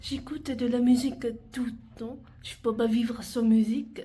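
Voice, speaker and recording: A woman with a Vietnamese accent speaks very slowly in a high voice with a dark, mellow tone and ordinary pitch variation, with audible room echo. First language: Vietnamese (speaking French). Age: 20s. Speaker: university student. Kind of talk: self-presentation video.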